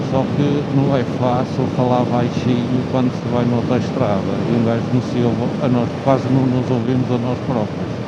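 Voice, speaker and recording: Over noticeable background noise and audible room echo, a man speaks in a medium pitch at a moderate pace, monotone and flat, with very even loudness and hardly any pauses. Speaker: motovlogger. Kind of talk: casual monologue. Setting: riding motorcycle on highway. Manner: halting.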